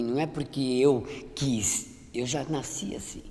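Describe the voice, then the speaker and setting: A woman talks at a fairly slow pace, her voice carrying audible room echo. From Brazil, São Paulo interior (Limeira). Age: 60s. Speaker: image consultant. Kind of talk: testimony. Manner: halting, frequent repetitions.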